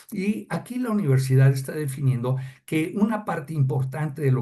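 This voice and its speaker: The voice is somewhat breathy with a dark, mellow tone, and audible room echo surrounds it. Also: man. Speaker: customs adviser. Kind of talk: lecture. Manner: halting.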